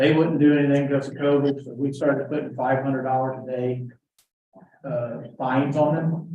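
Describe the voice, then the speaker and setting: This voice has an American accent and is somewhat breathy. It moves at a fairly quick pace with monotone, flat intonation. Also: man, fairly high pitch for a man. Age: 60s. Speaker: county commissioner. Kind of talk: public meeting.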